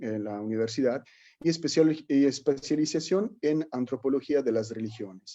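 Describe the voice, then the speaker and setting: Against a quiet background, a man with an Italian accent talks at a moderate pace in a dark, mellow tone, his pitch medium and its variation ordinary. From Italy. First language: Italian (speaking Spanish). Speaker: alternative medicine instructor. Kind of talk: workshop lecture. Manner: halting, with repetitions.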